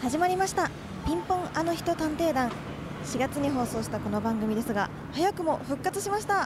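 With noticeable background noise, a woman talks at a moderate pace in a high pitch, her voice making very wide pitch swings. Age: young. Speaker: radio host. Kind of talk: casual chat. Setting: on location.

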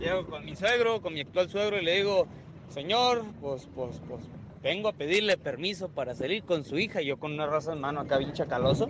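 This man's pitch is high and his intonation is lively. He talks at a fairly quick pace. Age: 20s. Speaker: caller. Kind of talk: casual chat. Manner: animated.

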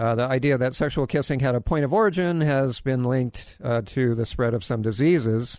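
A normal speaking voice from a man, medium in pitch with ordinary pitch variation, fairly quick with hardly any pauses, very even in loudness, against a quiet background. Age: 60s. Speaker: health radio host. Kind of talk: radio talk show. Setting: studio. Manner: jokey, laughs often.

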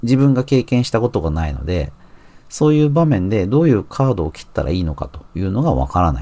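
At a very fast pace, a man with a dark, mellow tone and fairly low pitch speaks with very wide pitch swings. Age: 40s. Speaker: magazine editor and podcast host. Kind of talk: solo commentary podcast.

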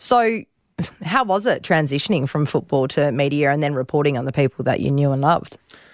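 A woman with an Australian accent, very deep and low in pitch, at a fairly quick pace. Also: lively intonation. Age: 30s. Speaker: radio host. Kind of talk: casual interview.

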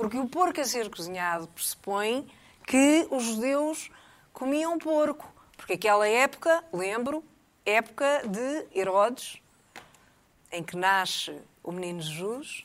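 A woman's fairly high voice at a fairly slow pace, with very wide pitch swings and long, frequent pauses. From Portugal, Lisbon. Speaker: TV commentator, panelist. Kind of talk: casual chat. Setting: TV studio.

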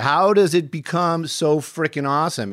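Recorded very cleanly against a silent background, a man with a fairly high pitch sounds dry and close, with no echo. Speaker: podcast host; news helicopter reporter. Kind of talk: casual interview. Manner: chatty, rambling, animated.

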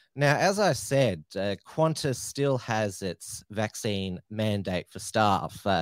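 A man with an Australian accent and a fairly low voice speaks with ordinary pitch variation, on a very clean recording with a silent background and a dry, close sound with no echo. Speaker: podcast host. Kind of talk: interview show. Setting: studio. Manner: hesitant, many filler sounds.

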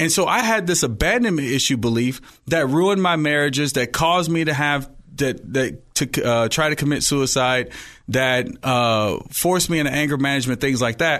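Over a quiet background, a man with a plain, everyday voice and fairly high pitch talks at a moderate pace, with ordinary pitch variation and very even loudness. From Oakland, California. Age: young. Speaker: life coach. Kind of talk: interview. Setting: studio.

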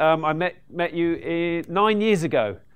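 A man speaks in a fairly high voice against a quiet background. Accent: British. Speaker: podcast host and property investor. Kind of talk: stage introduction. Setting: stage with audience.

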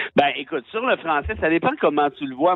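With a Quebec accent, a man speaks at a fairly high pitch with ordinary pitch variation. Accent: Québécois French. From Quebec, Mont-Laurier region. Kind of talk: casual interview.

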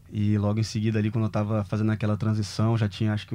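Here a man speaks at a fairly low pitch. His tone is dark and mellow. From Brazil, Rio de Janeiro (Rocinha). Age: 30s. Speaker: former professional tennis player. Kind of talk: casual interview chat.

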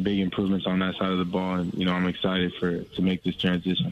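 A man with an American accent talks fast in a low voice.

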